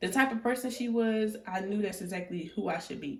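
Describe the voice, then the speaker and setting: A soft-spoken woman talks at a fairly quick pace, her voice somewhat breathy. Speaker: tarot reader. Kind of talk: tarot reading. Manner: casual.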